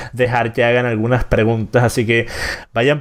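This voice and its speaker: Noticeable noise fills the background. Through it, a man's voice comes across. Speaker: political commentator and show host. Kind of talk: live-streamed interview. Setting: live stream with chat.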